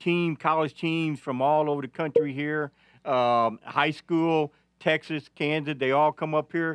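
A man with an Arkansas accent, fairly high in pitch, at a fairly slow pace, in a dry, close sound with no echo and a quiet background. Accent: Arkansas Southern US. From northeast Arkansas. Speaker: veteran sports reporter. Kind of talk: casual sports talk. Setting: studio. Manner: halting.

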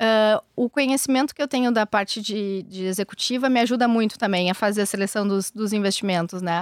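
Fairly quick and with hardly any pauses, the voice carries a strong gaúcho accent and ordinary pitch variation. The recording is very clean and dry, close with no echo and a silent background. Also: woman, fairly high pitch for a woman. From southern Brazil, Rio Grande do Sul (São Jerônimo). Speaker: venture capital investor. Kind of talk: interview. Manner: calm.

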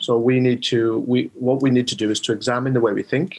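A man with a South Wales accent speaks at a medium pitch. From South Wales, the Rhondda. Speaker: mind coach. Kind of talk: interview.

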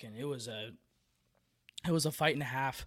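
Talking very fast in an American accent, this man has a medium pitch and fairly even intonation, captured in a very clean recording against a silent background. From San Francisco Bay Area, California. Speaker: podcast host, angler.

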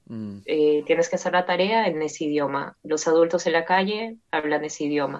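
A woman with an ordinary speaking voice, fairly low pitch and a moderate pace. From Peru. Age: 20s. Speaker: polyglot language learner. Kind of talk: interview.

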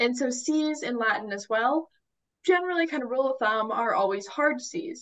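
A woman's high voice with lively intonation, at a moderate pace. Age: 20s. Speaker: college student and young writer. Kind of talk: casual interview.

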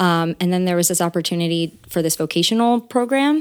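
Speaking at a fairly quick pace, a woman with an American accent has an unremarkable speaking voice, fairly low in pitch with ordinary variation. The recording is very clean, with a silent background. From Central New Jersey. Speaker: singer and voice teacher. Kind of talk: interview. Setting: studio.

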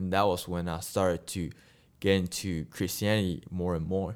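In a non-native accent, a man speaks in a very deep, low voice at a moderate pace with fairly even intonation. The recording is very clean with a silent background. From Malaysia. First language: not English. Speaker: university student and filmmaker. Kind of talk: casual interview.

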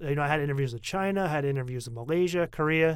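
Very fast speech from a man with an American accent, fairly high in pitch, with ordinary pitch variation. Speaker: podcast host. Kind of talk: casual chat.

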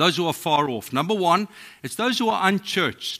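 With a bright, sharp tone and a non-native accent, a man talks at a fairly quick pace in a high pitch with lively intonation, in a very clean recording with a silent background. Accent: foreign accent, non-American. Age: 50s. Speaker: pastor. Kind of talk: sermon. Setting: church.

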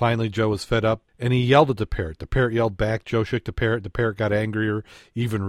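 Intonation stays fairly even as someone reads aloud in a natural voice.

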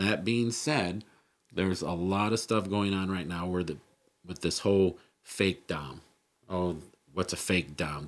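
A man with a very deep, low pitch talks fairly slowly in an animated tone, his pitch varying in an ordinary way. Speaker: podcast host. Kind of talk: casual chat. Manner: animated, talks with hands.

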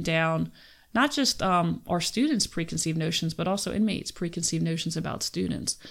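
A woman talks in a Philadelphia accent with a fairly low pitch and ordinary pitch variation. The recording is very clean, with a silent background. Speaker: criminology professor. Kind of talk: casual interview.

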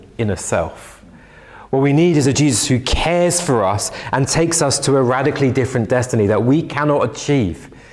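Over noticeable background noise, a man talks at a fairly quick pace. Audible room echo surrounds his voice. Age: 30s. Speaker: pastor. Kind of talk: sermon. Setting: church.

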